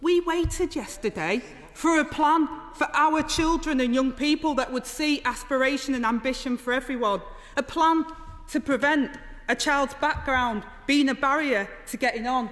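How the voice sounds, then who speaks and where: A woman with a high pitch talks at a moderate pace, her pitch varying in an ordinary way. Noticeable background noise can be heard. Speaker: politician. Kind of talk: parliamentary debate speech.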